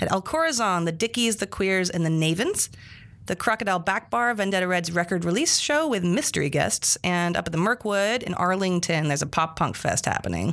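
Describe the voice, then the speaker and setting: An unremarkable speaking voice moves at a fairly quick pace with lively intonation and very even loudness. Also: woman, medium pitch for a woman. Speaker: podcast host. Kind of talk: casual chat. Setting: studio.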